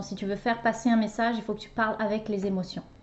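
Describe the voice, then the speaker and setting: With a normal speaking voice, a woman talks at a fairly high pitch and with fairly even intonation. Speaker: relationship coach and podcast host. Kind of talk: casual conversation with her husband. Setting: recording alongside guest.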